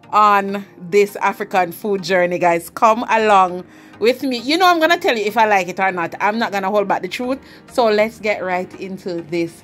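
Faint music sits in the background. A woman talks at a moderate pace with ordinary pitch variation. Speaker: food vlogger. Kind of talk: casual vlog chat. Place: kitchen. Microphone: camera far.

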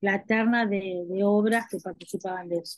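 A woman speaks in an ordinary speaking voice, the sound dry with no echo and the background quiet. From Buenos Aires, Argentina; Argentina. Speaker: dance video festival director. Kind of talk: panel discussion. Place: home room. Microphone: microphone problems; video call.

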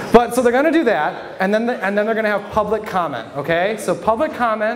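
A man speaks with an American accent. Light background noise can be heard. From Michigan (Flint); Michigan. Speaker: stand-up comedian and local newspaper reporter; stand-up comedian, local newspaper reporter. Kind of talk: stand-up. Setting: stage with audience at a brewery. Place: bar. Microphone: handheld.

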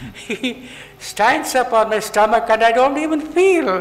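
The man speaks with lively intonation. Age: 80s+. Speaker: yoga elder. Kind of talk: interview answer. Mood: warm, reminiscing. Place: hall. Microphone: podium.

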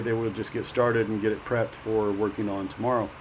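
Male speech with light background noise. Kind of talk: casual vlog tour commentary. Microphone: phone near.

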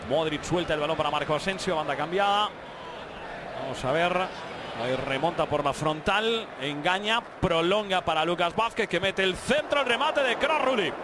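Amid noticeable background noise, a man speaks at a high pitch and moderate pace with lively intonation. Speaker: football match commentator. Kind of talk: live football commentary.

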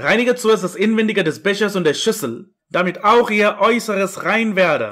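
At a fairly slow pace, a high-pitched man talks in an animated tone. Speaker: preacher. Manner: animated, accusatory, emphatic.

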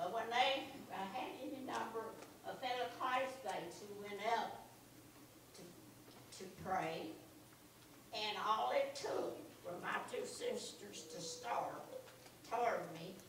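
A woman speaks very slowly at a fairly high pitch, with lively intonation and long, frequent pauses. There is audible room echo and light background noise. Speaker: churchgoer sharing testimony. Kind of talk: church testimony. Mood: earnest, reflective. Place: church.

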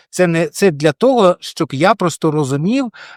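On a very clean recording with a silent background, a man talks in an ordinary speaking voice. His intonation is lively, and the sound is dry and close with no echo. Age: 40s. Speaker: blogger and journalist. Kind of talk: casual to-camera vlog.

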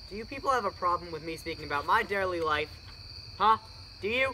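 A man's put-on character voice, high-pitched, bright and sharp, with lively intonation at a fairly quick pace over faint background noise.

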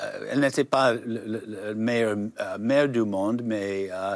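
A man talks at a very slow pace in a fairly low pitch. The sound is dry, with no echo. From United States. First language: English (speaking French). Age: 70s. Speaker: novelist; guest. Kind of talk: interview. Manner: halting. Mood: calm, reflective. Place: studio. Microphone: lapel.

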